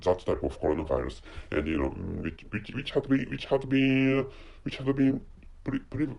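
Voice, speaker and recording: At a fairly quick pace, a man with a medium pitch and vocal fry swings very widely in pitch. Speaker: podcast host. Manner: stutters, repeats words.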